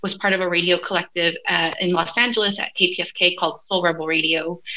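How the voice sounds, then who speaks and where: A woman's bright, sharp tone at a medium pitch, with fairly even intonation and a moderate pace. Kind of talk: academic talk.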